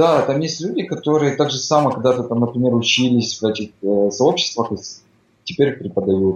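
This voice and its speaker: A man with a plain, everyday voice speaks at a moderate pace and medium pitch, his intonation lively. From Ukraine. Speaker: migrant construction worker. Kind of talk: casual interview chat. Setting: Skype call.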